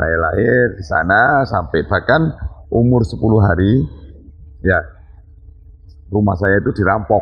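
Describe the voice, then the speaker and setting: A man with a fairly low pitch and lively intonation keeps a very even loudness while leaving long, frequent pauses. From Banyuwangi, East Java (Osing area). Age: 50s. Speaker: local party chairman. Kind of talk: interview. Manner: somewhat loud, hard-toned speech.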